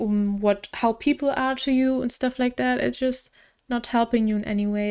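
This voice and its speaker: A woman with a non-native accent speaks in a fairly high voice with fairly even intonation, in a very clean recording with a silent background. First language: not English. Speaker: tarot reader. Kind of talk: tarot reading. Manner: halting.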